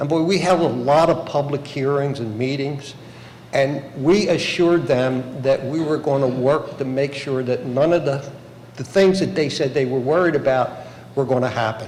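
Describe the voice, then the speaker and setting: Some background noise and audible room echo surround a man with an American accent. His pitch is fairly high, with ordinary variation, at a moderate pace. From Bensalem, Pennsylvania (Philadelphia area). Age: 70s. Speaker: local politician. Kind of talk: public hearing testimony. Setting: public hearing room. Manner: halting.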